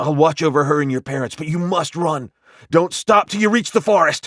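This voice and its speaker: A man puts on a growling character voice at a fairly high pitch. He speaks at a fairly quick pace. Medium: read story.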